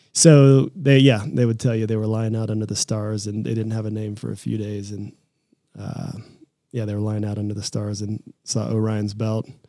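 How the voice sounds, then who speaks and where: Here is a man with a fairly low voice and a dark, mellow tone. He speaks at a moderate pace with an American accent. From Kansas, US Midwest (Lawrence). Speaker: company co-founder and president. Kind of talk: casual interview.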